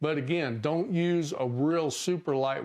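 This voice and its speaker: A man's unremarkable speaking voice, fairly slow, with ordinary pitch variation and a quiet background. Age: 60s. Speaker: fishing channel host. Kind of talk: tutorial. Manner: casual.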